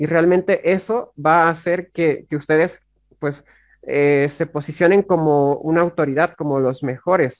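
This man has an ordinary speaking voice, fairly high in pitch, and he speaks at a fairly slow pace. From Bolivia, La Paz. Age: 20s. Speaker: affiliate marketer and YouTuber. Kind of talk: interview conversation.

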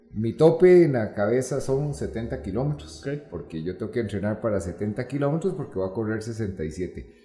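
A man's medium-pitched voice with very wide pitch swings at a moderate pace, music in the background. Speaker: entrepreneur and amateur ultramarathon runner. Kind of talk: interview.

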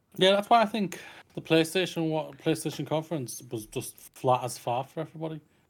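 On a very clean recording with a silent background, a man with a British accent talks at a fairly quick pace in a fairly high pitch, his intonation lively. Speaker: podcast co-host. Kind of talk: casual chat. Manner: loud.

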